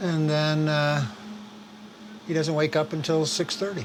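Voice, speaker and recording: A man's fairly high voice with an American accent at a fairly slow pace, amid noticeable background noise. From New York. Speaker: desert homesteader. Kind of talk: casual chat.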